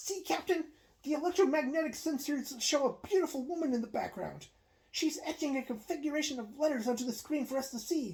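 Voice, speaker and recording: The voice is a put-on character. Its delivery is fairly quick. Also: woman, high pitch for a woman. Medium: read story.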